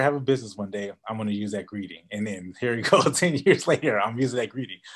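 Against a quiet background, a man is talking. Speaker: business coach. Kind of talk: webinar presentation.

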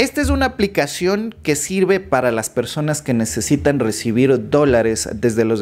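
The voice has lively intonation and a moderate pace. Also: man. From Ecuador. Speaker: YouTuber explaining finance apps. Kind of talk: tutorial. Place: home room. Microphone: studio mic.

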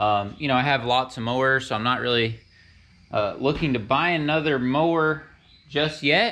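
Bright, sharp tone from a man at a moderate pace. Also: medium pitch for a man, fairly even intonation.

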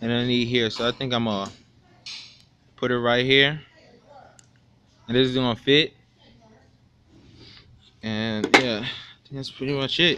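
A man speaks at a moderate pace in a monotone, flat way, with long, frequent pauses. Noticeable background noise runs under his voice. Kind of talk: casual vlog chat. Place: garage.

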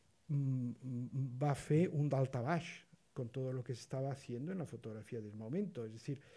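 This man's fairly high voice is somewhat breathy, with a dark, mellow tone and a moderate pace. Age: 60s. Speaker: photography historian, panelist; panelist. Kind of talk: roundtable discussion. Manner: halting, many repetitions. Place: hall. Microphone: podium.

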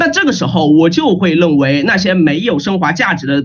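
The tone is animated and the pace fairly quick. The background is quiet. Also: man. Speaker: university student debater; student debater, speaker. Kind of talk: competitive debate. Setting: video call. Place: home room. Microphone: webcam.

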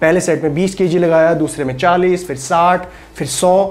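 The man talks at a moderate pace. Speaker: fitness trainer. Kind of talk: tutorial. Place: studio. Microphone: lapel.

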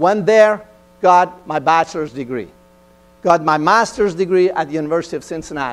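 The speaker is a man. He talks with a Persian accent. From Iran. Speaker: engineering executive. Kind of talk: motivational talk. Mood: earnest, personal storytelling. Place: stage. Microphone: lapel.

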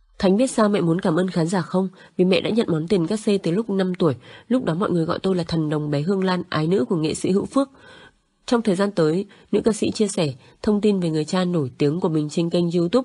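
In a dark, mellow tone, a woman of medium pitch speaks at a very fast pace with ordinary pitch variation against a quiet background. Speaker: news narrator. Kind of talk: news reading.

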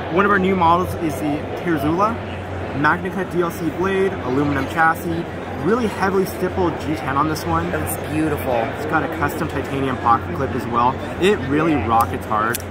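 Over music in the background, a man talks in a dry sound with no echo. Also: moderate pace. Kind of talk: interview answer. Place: hall. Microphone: phone near.

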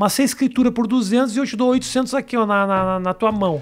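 Speech in a Brazilian accent rushes along at a very fast pace. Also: man, quiet background. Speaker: comedian and show host; comedian, show host. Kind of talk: casual interview. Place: studio. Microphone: studio mic.

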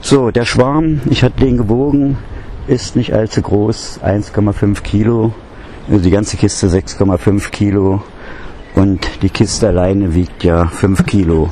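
The speech is very slow with lively intonation, in a dry sound with no echo and light background noise. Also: man, fairly low pitch for a man. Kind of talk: casual vlog chat. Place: garden.

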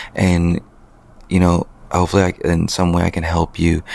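Quiet, very deep, low male voice in a monotone, flat intonation at a fairly quick pace, dry with no echo. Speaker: wedding photographer and videographer, business owner. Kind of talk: casual vlog monologue. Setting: at home late at night. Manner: quiet, keeping voice low. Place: home room. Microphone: handheld.

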